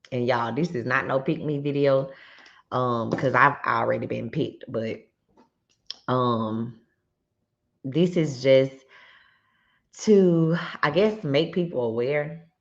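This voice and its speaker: Audible room echo surrounds speech at a very slow pace with ordinary pitch variation. Long, frequent pauses break it up. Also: woman, very deep, low pitch for a woman. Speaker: YouTuber and realtor. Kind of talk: casual vlog commentary. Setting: home garage. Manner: loud; many fillers, conversational.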